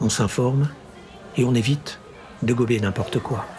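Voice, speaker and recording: A man with a northern French accent speaks at a moderate pace in a medium pitch, with audible room echo and music in the background. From Grand Est, France (Champagne, Ardennes). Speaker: audiobook narrator and channel host. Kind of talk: casual Q&A monologue. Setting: café.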